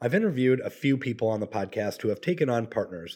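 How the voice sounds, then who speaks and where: A man with an American accent speaks at a moderate pace and medium pitch, with very wide pitch swings. The recording is very clean with a silent background. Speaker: podcast host and shop owner. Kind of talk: casual podcast hosting and intro.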